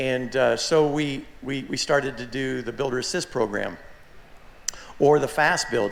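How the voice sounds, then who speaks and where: Noticeable background noise sits behind a man's voice. His pitch is fairly high with ordinary variation. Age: 60s. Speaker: aircraft kit manufacturer. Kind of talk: forum talk. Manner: halting, many repeated words.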